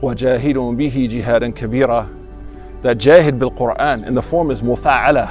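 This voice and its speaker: With faint music in the background, the voice moves at a fairly quick pace with fairly even intonation and a dry sound with no echo. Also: man. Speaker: imam, Islamic teacher. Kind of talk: religious talk / sermon excerpt. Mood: earnest, encouraging. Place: garden. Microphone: lapel.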